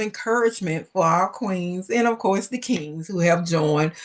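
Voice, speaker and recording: With a Southern US accent, a woman speaks at a fairly slow pace in an animated tone with lively intonation. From US South. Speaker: business coach and livestream host. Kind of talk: live interview. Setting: livestream.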